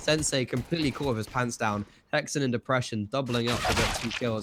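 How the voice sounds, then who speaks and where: A man speaking at a very fast pace amid noticeable background noise. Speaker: esports commentator. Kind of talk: live commentary. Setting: live stream. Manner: animated.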